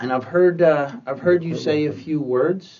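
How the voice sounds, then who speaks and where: A man's unremarkable speaking voice, fairly slow pace and ordinary pitch variation. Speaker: interviewer. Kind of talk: interview questions.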